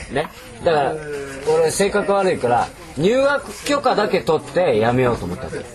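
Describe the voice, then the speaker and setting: A man's high voice at a moderate pace, very wide pitch swings, and noticeable background noise. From Aichi, Japan. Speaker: architect. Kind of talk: interview. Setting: cottage after barbecue, drinking.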